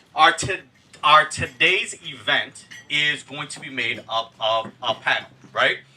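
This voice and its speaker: Fairly high in pitch, a man's voice is heard over noticeable background noise. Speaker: event moderator and real estate instructor. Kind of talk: event moderation. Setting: event venue with audience, PA system. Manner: loud.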